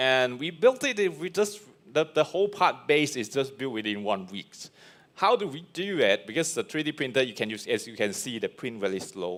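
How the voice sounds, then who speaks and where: Fairly quick male speech at a fairly high pitch, with very wide pitch swings and vocal fry. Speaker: 3D printing speaker. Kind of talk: presentation talk; Q&A answer. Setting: live stream event. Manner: fast; halting.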